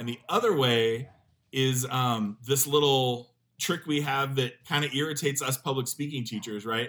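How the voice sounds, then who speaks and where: A man speaks at a moderate pace and a medium pitch, with an unremarkable speaking voice and ordinary pitch variation. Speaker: professor. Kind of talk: casual interview chat.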